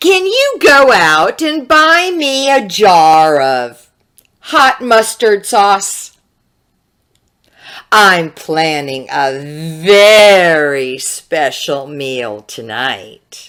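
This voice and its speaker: A woman speaks very slowly in a put-on character voice pitched fairly low. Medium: read story. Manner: wheedling, sly.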